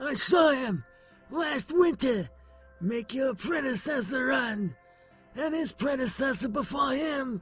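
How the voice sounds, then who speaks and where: A man talks in a hoarse, cartoonish character voice. His pace is very slow, with faint music in the background. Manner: gruff, know-it-all.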